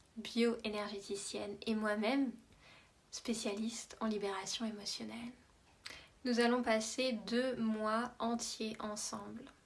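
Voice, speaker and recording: Very slowly and with long, frequent pauses, a woman speaks in a somewhat breathy, fairly high voice with monotone, flat intonation. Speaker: emotional release coach. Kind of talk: promotional talk.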